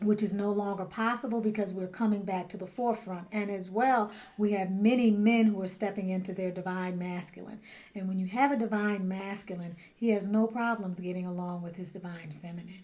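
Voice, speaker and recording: A soft-spoken woman with a dark, mellow tone, medium pitch and fairly even intonation, at a fairly quick pace, with big swings in loudness and audible room echo. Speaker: spiritual teacher and tarot reader. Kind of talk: talking-head monologue.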